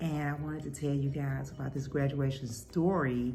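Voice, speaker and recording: Music plays in the background as the speaker talks at a fairly slow pace with fairly even intonation. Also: woman. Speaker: cooking and talk channel host. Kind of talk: casual talk to camera.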